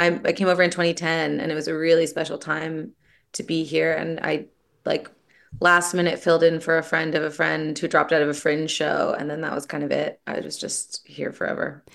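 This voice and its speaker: Woman's very deep, low voice with vocal fry and a Canadian accent, monotone and flat, at a fairly quick pace. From Toronto, Canada. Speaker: writer and screenwriter. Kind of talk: casual interview chat.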